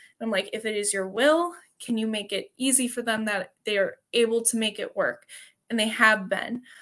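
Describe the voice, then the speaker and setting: Recorded very cleanly over a silent background, a woman with a Wisconsin accent talks at a moderate pace in a fairly high pitch, her bright, sharp tone showing ordinary pitch variation. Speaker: CrossFit athlete and teacher. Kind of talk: interview.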